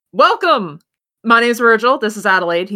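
A booming, female-sounding put-on character voice, fairly high in pitch and fairly quick in pace. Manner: welcoming, talking over the other man.

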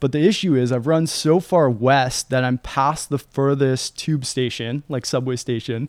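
A man with a Canadian accent has an ordinary speaking voice at a medium pitch, talking at a moderate pace with hardly any pauses. His intonation is fairly even, and the sound is dry and close with no echo. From London, England until 8, then Toronto, Canada. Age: 30s. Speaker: endurance athlete. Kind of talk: casual chat. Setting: studio.

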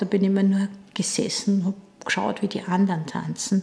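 Her medium-pitched voice carries at a moderate pace as the woman speaks. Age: 60s. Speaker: dance teacher. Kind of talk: interview.

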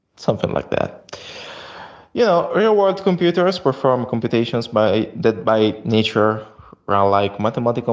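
A man with an Italian accent speaks at a medium pitch and a moderate pace. His intonation is lively. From Italy. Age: 20s. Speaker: software engineer. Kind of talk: recorded voice message. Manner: halting.

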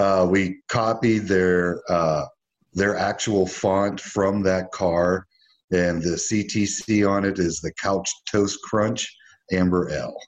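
Here a man speaks in a fairly low pitch at a very slow pace. His intonation is monotone and flat. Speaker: craft brewery owner. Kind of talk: casual chat. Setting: video call.

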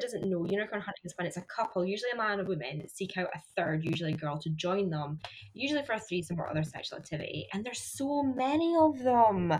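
A woman with a Scottish accent, medium-pitched, very fast and hardly pausing, her pitch swinging very widely over noticeable background noise. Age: 20s. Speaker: podcast host. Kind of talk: casual chat. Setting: remote recording over internet.

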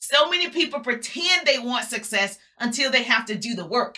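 A woman's high, raised and projected voice, warm and upbeat, bright and sharp in tone, with very wide pitch swings at a fairly slow pace. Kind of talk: motivational pep talk, live social-media rally. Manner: rousing, emphatic and fired-up, with punchy repeated slogans and call-and-response; warm, upbeat and preacher-like, addressing the audience as 'my people'.

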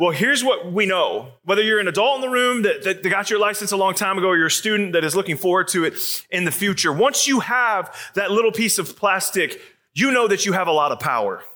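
A man with an American accent speaks in a raised, projected voice at a very fast pace, with a high pitch, bright, sharp tone, ordinary pitch variation and very even loudness. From Arizona. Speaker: youth pastor. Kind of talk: sermon.

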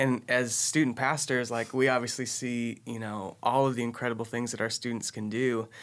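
In a monotone, flat delivery with an American accent, a man speaks at a moderate pace and medium pitch with hardly any pauses, on a very clean recording with a silent background. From Texas, Austin. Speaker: student pastor. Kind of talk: casual chat.

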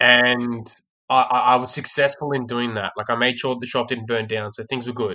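With an Australian accent, a man talks at a moderate pace in a monotone, flat way, his medium-pitched voice bright and sharp in tone. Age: 20s. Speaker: sales trainer. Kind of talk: casual chat. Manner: halting, with frequent repeated words.

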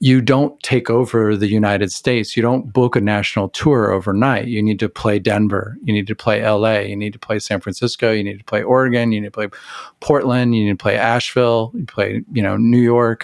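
In an American accent, a man with a normal speaking voice talks at a fairly quick pace and fairly low pitch, his intonation fairly even, on a very clean recording with a silent background. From Texas, Amarillo. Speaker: record label founder. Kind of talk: casual interview chat.

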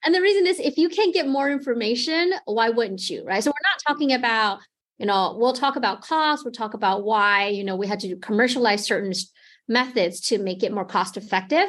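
With a Taiwanese accent, a woman speaks at a fairly high pitch and a fairly quick pace with very wide pitch swings, over a quiet background. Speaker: genomics company product manager. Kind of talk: interview.

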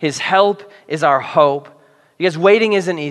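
Pitch moves in an ordinary way. The delivery is reading aloud in a natural voice.

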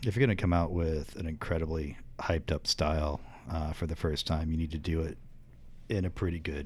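A man with a very deep, low pitch and an American accent, somewhat breathy, at a fairly quick pace, in a very clean recording with a silent background. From northern Indiana, US Midwest. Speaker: brewmaster. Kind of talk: casual interview.

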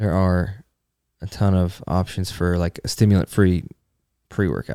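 Very deep and low in pitch, the man's voice has a dark, mellow tone and fairly even intonation. The recording is very clean with a silent background, and his pace is moderate. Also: dry, close sound with no echo. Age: 30s. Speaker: fitness podcast host and content creator. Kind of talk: casual chat.

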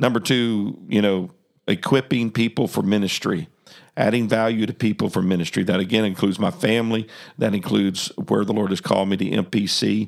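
A man talks at a fairly quick pace in a normal speaking voice, fairly low in pitch with very even loudness. The recording is very clean with a silent background. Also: ordinary pitch variation. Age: 60s. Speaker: podcast host. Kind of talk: casual chat.

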